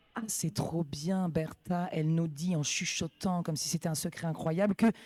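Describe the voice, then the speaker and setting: The tone is animated and the pace moderate. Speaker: roller derby announcer. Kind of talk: live commentary.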